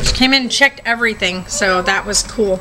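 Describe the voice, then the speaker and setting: Faint music plays in the background. The voice is raised and projected. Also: woman. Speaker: parent vlogger. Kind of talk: casual vlog chat. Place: home room. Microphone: phone near.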